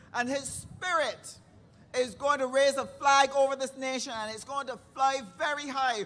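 A woman speaks in a Barbadian accent with an animated tone and a high pitch. Her pace is fairly slow. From Barbados. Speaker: rally emcee. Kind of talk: event hosting. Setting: stage with audience.

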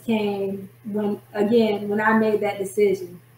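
A woman speaks very slowly in a monotone, with flat intonation and a fairly high pitch. Noticeable background noise sits behind her. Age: 40s. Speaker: prophetess and author. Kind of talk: testimony.

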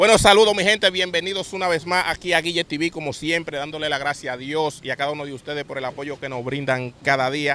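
A man speaks at a very fast pace in a Dominican accent. His pitch is fairly high. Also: ordinary pitch variation, dry sound with no echo. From Dominican Republic. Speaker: channel host interviewer. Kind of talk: interview questions and channel intro. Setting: outdoors, near a bridge. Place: open country. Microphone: handheld.

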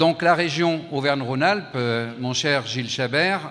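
Ordinary pitch variation runs through a man's very slowly paced speech. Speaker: mayor giving speech. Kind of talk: formal speech. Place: hall. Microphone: handheld.

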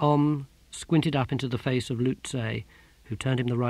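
A natural voice reading aloud, its intonation fairly level

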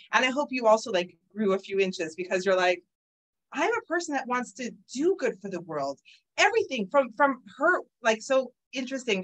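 A woman's fairly high voice with very wide pitch swings, a fairly quick pace, and a slight Canadian accent. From Toronto, Canada. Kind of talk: lecture.

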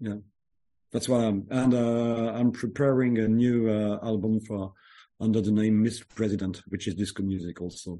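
A man's dark, mellow voice with a French accent, fairly low in pitch, at a moderate pace with fairly even intonation, against a quiet background. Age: 40s. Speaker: music producer. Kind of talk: interview. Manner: halting.

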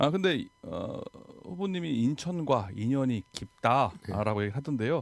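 A man speaks at a fairly slow pace with a medium pitch. His voice moves through very wide pitch swings. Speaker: radio host. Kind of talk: radio interview. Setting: radio studio.

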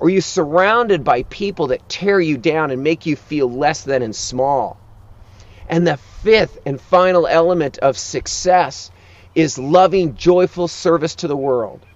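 At a fairly slow pace, a man with a high pitch speaks in a dry sound with no echo. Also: ordinary pitch variation. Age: 50s. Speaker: life coach. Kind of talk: motivational talk; sales pitch. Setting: outdoors. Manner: urgent. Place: open country.

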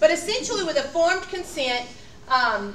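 A woman talks at a moderate pace with light background noise. Audible room echo surrounds her voice. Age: 40s. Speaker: instructor. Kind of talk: lecture. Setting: classroom. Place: classroom.

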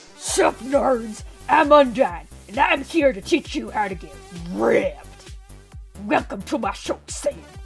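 Clear music plays behind a high-pitched, put-on character voice that moves at a fairly slow pace with long, frequent pauses. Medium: fan dub. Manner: rowdy, aggressive, comic.

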